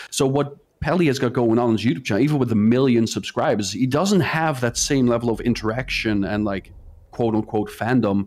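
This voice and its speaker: A man with a non-native accent at medium pitch, fairly quick pace, ordinary pitch variation and very even loudness. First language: not English. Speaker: gaming youtuber. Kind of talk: casual chat.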